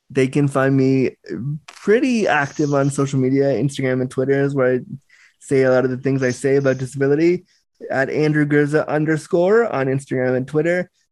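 With an unremarkable speaking voice, a man talks fairly quickly at a fairly high pitch, with very even loudness and fairly even intonation. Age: 30s. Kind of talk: casual interview.

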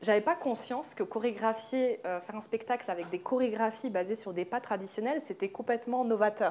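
Over noticeable background noise, a woman with a fairly high pitch and ordinary pitch variation talks with hardly any pauses. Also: moderate pace. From France, Moroccan Amazigh family from Oujda. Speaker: dancer and choreographer. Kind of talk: panel discussion. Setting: live event with audience.

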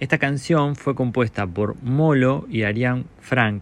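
A man speaks at a very slow pace, medium in pitch with ordinary pitch variation. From Argentina, La Pampa province (small rural town). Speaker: singer-songwriter. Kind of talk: recorded narration presenting his music.

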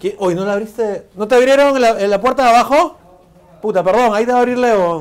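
A man with an extremely high pitch speaks at a very fast pace. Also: ordinary pitch variation. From Peru, Lima. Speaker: video interviewer. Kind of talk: casual interview.

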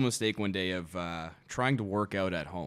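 With a Canadian accent, a man speaks in a plain, everyday voice at a fairly low pitch. His intonation is lively. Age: 20s. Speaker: realtor. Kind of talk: casual chat.

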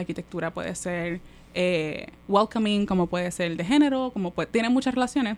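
A woman talks at a moderate pace with ordinary pitch variation. It is a normal speaking voice. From Puerto Rico, Manatí. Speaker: architect, urban studies researcher. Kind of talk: casual chat.

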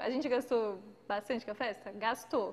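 The speaker is a woman at a moderate pace. Her pitch varies in an ordinary way. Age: 30s. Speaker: podcast co-host. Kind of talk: casual chat. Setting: live stream.

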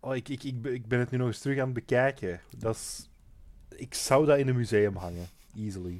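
A man's ordinary speaking voice at medium pitch, fairly quick, with ordinary pitch variation and big swings in loudness. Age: 20s. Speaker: podcast co-host recapping a TV series. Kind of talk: casual chat.

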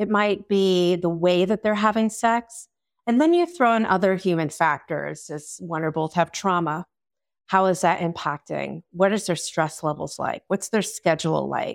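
A woman with an ordinary speaking voice, medium pitch, ordinary pitch variation and moderate pace, in a dry, close, very clean recording with a silent background and no echo. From Long Island, New York. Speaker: sex and relationship therapist. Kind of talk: interview.

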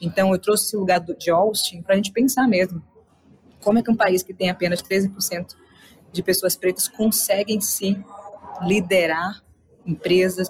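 A woman talks at a moderate pace in a medium pitch with fairly even intonation. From Salvador, Bahia, Brazil. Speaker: entrepreneur and innovation speaker. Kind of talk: interview.

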